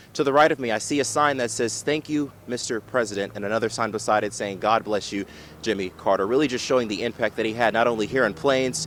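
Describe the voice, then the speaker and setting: Through noticeable background noise, a man talks at a very fast pace with a medium pitch and ordinary pitch variation. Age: 20s. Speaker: news anchor and reporter. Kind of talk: news reporting; live field reporting.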